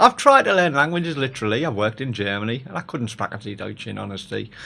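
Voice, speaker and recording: This man speaks very fast in a bright, sharp tone with vocal fry, his fairly high pitch swinging very widely. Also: quiet background. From Hartlepool, England. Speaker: poet. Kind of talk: spoken word poetry about the news.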